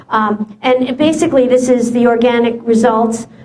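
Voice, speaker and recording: A woman speaks at a high pitch with fairly even intonation. Noticeable background noise and audible room echo fill the recording. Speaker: SEO presenter. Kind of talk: presentation. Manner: fast; halting.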